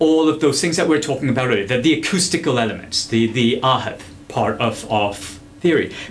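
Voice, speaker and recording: The speech moves at a fairly quick pace with very even loudness and audible room echo. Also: man. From India and Dubai. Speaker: musician. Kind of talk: casual interview chat with music demos. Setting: studio. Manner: animated.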